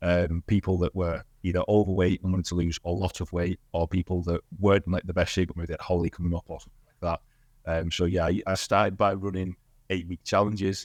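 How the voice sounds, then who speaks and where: Over a silent background in a very clean, dry, close recording with no echo, a man with a Cumbrian accent and a very deep, low voice talks very fast in a flat monotone. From northern England, Cumbria (Barrow-in-Furness). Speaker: gym owner and fitness coach. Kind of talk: podcast interview.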